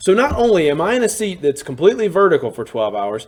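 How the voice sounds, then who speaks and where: A man speaks in a high voice with an animated tone. His pace is fairly quick. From US South, Alabama (Birmingham suburbs). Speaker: teacher and storyteller. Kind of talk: storytelling monologue. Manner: casual, animated.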